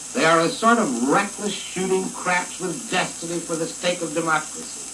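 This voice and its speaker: There is noticeable background noise here. A man with a high pitch speaks at a moderate pace with ordinary pitch variation. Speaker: general and former New Deal official, critic. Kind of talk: 1939 radio speech. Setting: old 78 rpm record.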